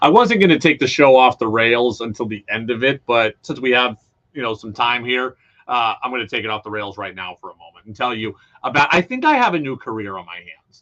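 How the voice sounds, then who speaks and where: Talking at a fairly quick pace, a man with a medium pitch and ordinary pitch variation shows big swings in loudness. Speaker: radio sports talk host. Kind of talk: casual radio monologue. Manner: animated.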